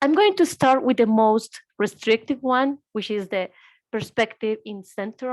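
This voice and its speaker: In a Spanish accent, a woman speaks at a moderate pace and a fairly high pitch, with ordinary pitch variation. The sound is dry and close with no echo, in a very clean recording with a silent background. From Colombia. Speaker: reproductive rights lawyer. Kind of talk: panel presentation.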